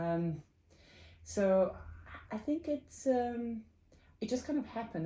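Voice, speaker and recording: The speaker has a Serbian accent. The intonation is lively. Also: woman. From Serbia (former Yugoslavia). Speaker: computer science professor. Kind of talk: interview. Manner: halting, many fillers.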